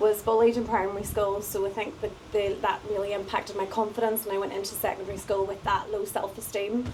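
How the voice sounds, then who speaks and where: A woman in a Northern Irish accent at medium pitch, very fast pace, monotone, flat intonation and hardly any pauses, over noticeable background noise. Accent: Northern Irish (Antrim). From Northern Ireland, County Antrim. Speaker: singer-songwriter and life coach. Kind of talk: casual interview, personal testimony.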